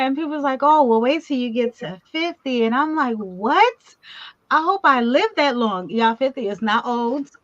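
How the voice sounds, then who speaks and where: A woman speaks at a moderate pace. She has a plain, everyday voice. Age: 50s. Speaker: talk show host, awards executive producer. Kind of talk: casual video chat interview.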